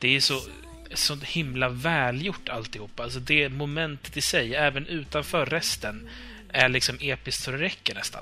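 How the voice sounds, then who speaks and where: Over music in the background, a man with a fairly high pitch talks at a moderate pace with fairly even intonation. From Uppsala, Sweden. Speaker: podcast co-host. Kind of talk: casual chat.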